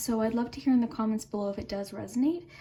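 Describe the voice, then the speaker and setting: A woman speaks at a very fast pace. Her fairly high voice has ordinary pitch variation. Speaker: tarot reader. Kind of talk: tarot reading for online audience. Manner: calm, gentle, conversational.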